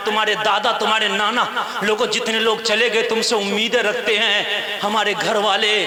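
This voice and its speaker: The voice is raised and projected, with monotone, flat intonation. Noticeable background noise can be heard. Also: man. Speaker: Islamic preacher. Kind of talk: religious sermon delivered to a live audience, with humorous touches. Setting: live gathering with audience.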